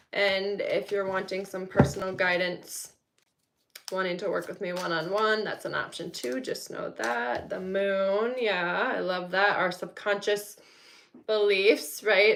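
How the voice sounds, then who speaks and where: This woman's voice sits at a medium pitch, moving at a fairly slow pace with ordinary pitch variation. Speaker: tarot reader. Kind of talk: live tarot reading. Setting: home, no studio. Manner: soft-spoken.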